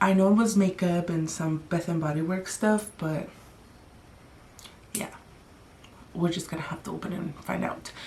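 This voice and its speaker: Soft-spoken and fairly low in pitch, a woman talks at a moderate pace with fairly even intonation and long, frequent pauses over noticeable background noise. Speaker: beauty vlogger. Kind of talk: casual chat.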